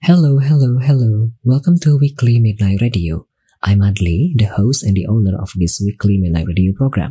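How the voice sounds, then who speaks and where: A man speaks with an Indonesian accent. His voice is somewhat breathy with a dark, mellow tone. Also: medium pitch for a man, lively intonation, moderate pace. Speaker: online radio host and streamer. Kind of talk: casual bilingual talk show chat. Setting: live stream on Twitch.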